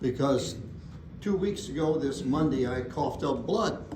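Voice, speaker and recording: An American-accented man speaks at a moderate pace in a fairly high pitch. Noticeable background noise and audible room echo fill the recording. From Indiana. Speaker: chiropractor and lecturer. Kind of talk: seminar talk.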